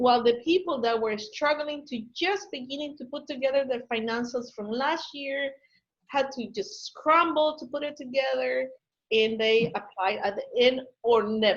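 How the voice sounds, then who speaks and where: Using a Spanish accent, a woman with a high pitch speaks at a moderate pace with lively intonation. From Ecuador. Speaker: business consultant. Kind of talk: webinar Q&A.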